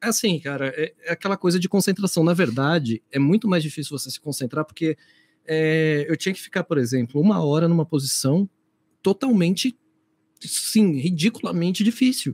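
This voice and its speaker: In a dry, close recording with no echo, a man with a high pitch talks at a moderate pace with lively intonation. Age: 30s. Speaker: co-host, theatre actor. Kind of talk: casual chat.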